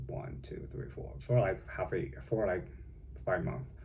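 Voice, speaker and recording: A man's very deep, low voice with a Chinese accent, vocal fry and a dark, mellow tone, set in an audible room echo. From China. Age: young. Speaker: vlogger. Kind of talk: casual vlog monologue. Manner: halting, many fillers.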